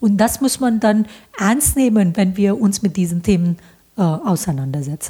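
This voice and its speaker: A woman with an Indian accent speaks at a moderate pace with lively intonation, medium pitch and very even loudness. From India, Bombay. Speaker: professor. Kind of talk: interview. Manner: hesitant, many fillers.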